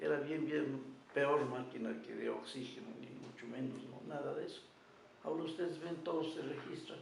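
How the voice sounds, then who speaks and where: Noticeable background noise is present, along with audible room echo. The talking proceeds at a moderate pace. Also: man. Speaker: anesthesiologist. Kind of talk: interview.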